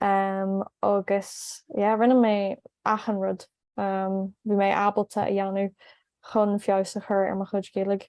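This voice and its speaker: A woman with an Irish accent, medium in pitch, fairly slow, in a monotone, flat intonation. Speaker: language learner and video host. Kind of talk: casual chat.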